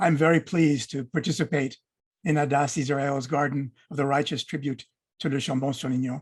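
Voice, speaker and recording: Recorded dry and close with no echo, a man talks at a fairly quick pace, somewhat breathy, with ordinary pitch variation. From France. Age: 70s. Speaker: documentary filmmaker. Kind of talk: prepared speech.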